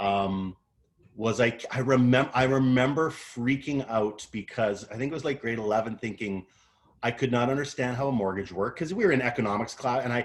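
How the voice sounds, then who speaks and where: A man speaks with a Canadian accent at a fairly quick pace. His pitch varies in an ordinary way. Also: medium pitch for a man. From western Canada. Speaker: motivational speaker, coach. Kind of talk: motivational talk. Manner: casual, halting.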